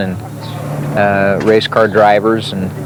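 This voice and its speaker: Against noticeable background noise, a man with a fairly low pitch talks at a fairly slow pace. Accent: American. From South Dakota, Sioux Falls. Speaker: retired sprint car racer. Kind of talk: interview storytelling. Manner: hesitant, many fillers.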